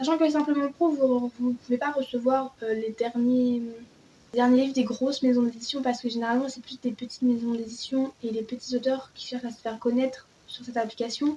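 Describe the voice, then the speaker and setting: A woman speaks in a high pitch with monotone, flat intonation but big swings in loudness. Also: fairly quick pace. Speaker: book YouTuber. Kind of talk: casual vlog talk.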